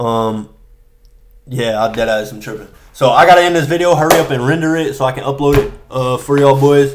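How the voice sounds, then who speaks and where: Audible room echo follows a man with a fairly high pitch who moves at a fairly quick pace with ordinary pitch variation. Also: big swings in loudness. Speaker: day trader vlogger. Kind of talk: casual monologue. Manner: fast; halting.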